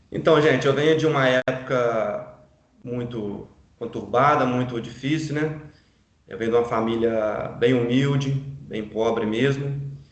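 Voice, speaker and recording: Room echo is audible as a man speaks at a fairly slow pace with fairly even intonation. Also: medium pitch for a man. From Brazil, Minas Gerais (Juiz de Fora). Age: 40s. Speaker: real estate broker. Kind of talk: life story testimony. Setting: online live stream.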